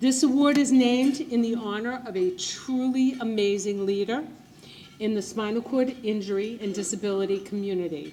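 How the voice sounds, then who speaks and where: At a fairly slow pace, a woman talks with a fairly high pitch and lively intonation. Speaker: event presenter. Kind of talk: prepared speech. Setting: gala ballroom with audience.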